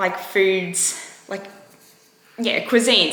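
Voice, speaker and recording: There is clear background noise and some audible echo from the room around this woman as she speaks. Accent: Australian. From Australia, Queensland. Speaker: vlogger sharing eating disorder recovery. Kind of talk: casual vlog talk to camera. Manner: rambling, hesitant with many fillers.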